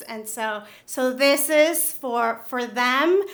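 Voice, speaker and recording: A bright, sharp tone in a Spanish accent, with audible room echo. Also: woman. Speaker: nonprofit CEO, award winner. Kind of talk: acceptance speech. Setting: stage with audience.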